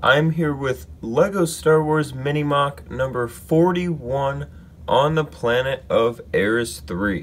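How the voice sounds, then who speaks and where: A man, very slow and somewhat breathy. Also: ordinary pitch variation. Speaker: LEGO builder, YouTuber. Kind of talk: casual talk to camera, showing a LEGO build.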